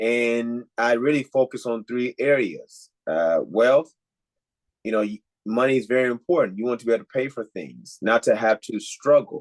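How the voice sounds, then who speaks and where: A man with a slight Nigerian accent and ordinary pitch variation, in a dry, close sound with no echo. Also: medium pitch for a man, moderate pace. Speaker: life coach. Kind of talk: podcast interview.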